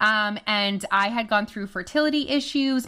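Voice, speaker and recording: A woman with a French Canadian accent, lively intonation and a bright, sharp tone, in a very clean recording with a silent background. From Canada. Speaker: weight loss coach. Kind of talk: casual interview chat.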